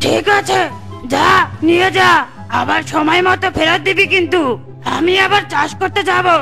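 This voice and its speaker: A cartoonish character voice at a moderate pace, with clear music in the background. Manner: teasing, bluff.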